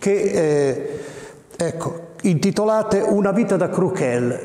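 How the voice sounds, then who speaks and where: A man speaks at a very slow pace with ordinary pitch variation. Room echo is audible. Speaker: dialect poet. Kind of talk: interview answer. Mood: warm, proud. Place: hall.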